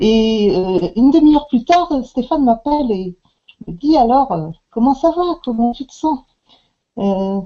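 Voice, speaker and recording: Very slowly, a woman speaks at a high pitch, with very wide pitch swings and big swings in loudness. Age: 60s. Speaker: customer giving product testimonial. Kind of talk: testimony. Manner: halting, many hesitations.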